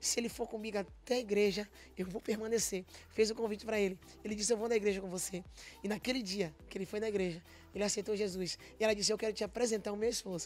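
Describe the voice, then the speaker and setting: Talking very fast, a woman holds a medium pitch with fairly even intonation. The sound is dry, with no echo. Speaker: gospel singer; guest. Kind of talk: testimony. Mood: emotional, earnest testimony. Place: studio. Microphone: studio mic.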